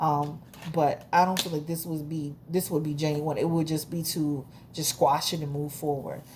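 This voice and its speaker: Somewhat breathy, a woman with a very deep, low pitch speaks at a moderate pace. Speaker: tarot reader. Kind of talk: tarot reading monologue. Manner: halting, self-correcting; casual, conversational.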